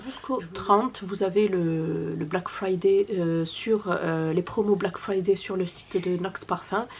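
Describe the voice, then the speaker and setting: A soft-spoken woman talks at a fairly slow pace in a medium-pitched voice with ordinary pitch variation. Noticeable background noise runs underneath. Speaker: family vlogger. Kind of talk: sales pitch; casual vlog. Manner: hesitant.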